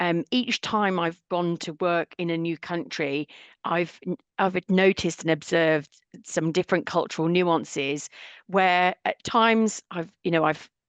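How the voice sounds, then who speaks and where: A woman with a British accent speaks at a fairly low pitch with ordinary pitch variation, against a quiet background with a dry, close sound and no echo. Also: fairly slow pace. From UK. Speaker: cultural intelligence trainer and author. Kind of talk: podcast interview.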